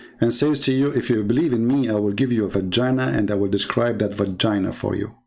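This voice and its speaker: A man talks at a fairly quick pace with an Arabic accent and ordinary pitch variation. Audible room echo and noticeable background noise fill the recording. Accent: Arab. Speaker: religious debater. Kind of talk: online debate livestream. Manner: animated.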